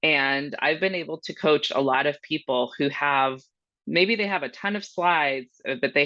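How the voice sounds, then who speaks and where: Her pitch rises and falls in an ordinary way. The woman's voice sits very deep and low. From Monterrey, Mexico, then Miami, Florida. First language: Spanish. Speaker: marketing professional. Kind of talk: interview.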